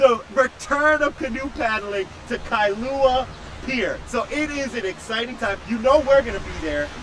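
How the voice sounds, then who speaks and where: Noticeable background noise sits behind a voice that proceeds fairly slowly. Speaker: live stream race commentator and interviewer. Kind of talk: live event interview. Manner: loud; animated.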